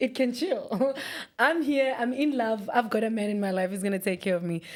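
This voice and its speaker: A woman with a South African accent speaks at a fairly quick pace in a fairly high pitch. Her tone is animated. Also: lively intonation. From South Africa, Free State then Pretoria. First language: Afrikaans. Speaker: radio DJ. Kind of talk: casual interview chat.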